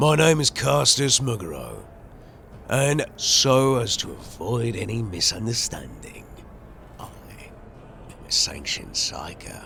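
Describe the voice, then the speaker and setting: Over clear background noise, a man does a put-on character voice at medium pitch, with very wide pitch swings and a fairly slow pace. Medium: actual play. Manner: solemn, formal.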